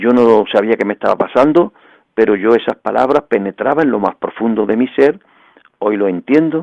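This man has an ordinary speaking voice, with medium pitch, ordinary pitch variation and a moderate pace. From Andalusia, Bay of Cádiz (El Puerto de Santa María). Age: 60s. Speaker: evangelical pastor. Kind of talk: radio interview testimony.

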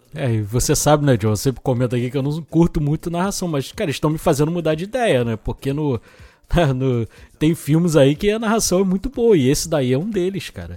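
A man's dark, mellow tone, with lively intonation and a fairly quick pace. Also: fairly high pitch for a man. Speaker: podcast co-host. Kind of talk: casual chat.

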